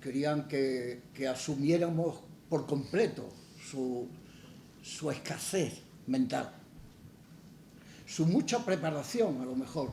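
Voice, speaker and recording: Audible room echo surrounds a somewhat breathy voice with a dark, mellow tone and lively intonation. The pace is very slow, with long, frequent pauses. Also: man, fairly high pitch for a man. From Andalusia, Málaga. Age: 80s+. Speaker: poet. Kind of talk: public conversation. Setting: stage with audience. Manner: halting, frequent repetitions.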